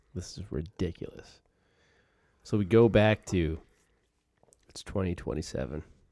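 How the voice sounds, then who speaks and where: With a dark, mellow tone and very deep, low pitch, a man speaks at a moderate pace with vocal fry, ordinary pitch variation and long, frequent pauses. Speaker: podcast host. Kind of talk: casual interview chat.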